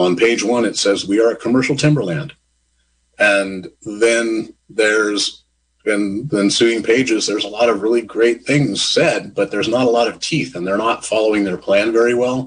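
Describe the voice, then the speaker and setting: Showing normal pitch variation and a middling speed, this is an ordinary speaking voice. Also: man, medium pitch for a man. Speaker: president of local trail stewardship group. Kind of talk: radio panel discussion.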